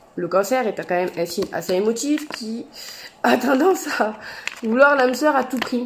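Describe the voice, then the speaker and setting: A woman speaks at a moderate pace with a fairly high pitch. Noticeable background noise runs underneath. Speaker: tarot and oracle card reader. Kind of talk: astrology card reading to camera.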